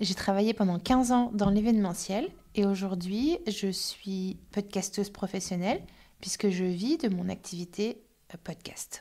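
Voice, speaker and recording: A woman with a dark, mellow tone speaks at medium pitch with ordinary pitch variation. Her pace is fairly slow, and the recording is very clean with a silent background. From Paris suburbs, France. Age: 40s. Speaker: podcaster. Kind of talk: interview.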